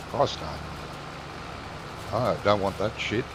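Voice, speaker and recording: Noticeable background noise sits behind a man speaking with an Australian accent. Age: 60s. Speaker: gaming streamer. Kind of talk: casual chat.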